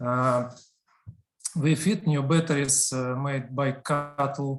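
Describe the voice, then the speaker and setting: A man with a Russian accent talks at a very slow pace in a fairly high voice, his intonation fairly even and his speech marked by long, frequent pauses. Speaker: company representative. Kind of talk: business pitch. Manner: halting.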